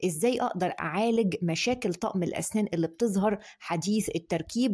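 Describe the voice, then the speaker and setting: A woman's pitch varies in an ordinary way, with a quiet background behind her. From Egypt. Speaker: dentist. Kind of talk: tutorial. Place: home room. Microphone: phone near.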